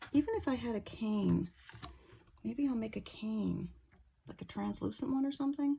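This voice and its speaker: Mumbling at a moderate pace, a woman leaves long, frequent pauses. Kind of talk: tutorial. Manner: casual, thinking aloud, mumbling to herself.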